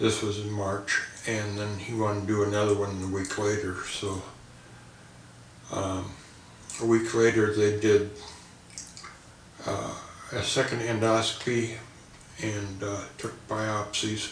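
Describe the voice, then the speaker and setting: Against noticeable background noise and audible room echo, a man with a fairly low pitch talks at a fairly slow pace in a monotone, flat delivery broken by long, frequent pauses. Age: 60s. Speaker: cancer patient. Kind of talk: testimony. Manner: halting, many fillers.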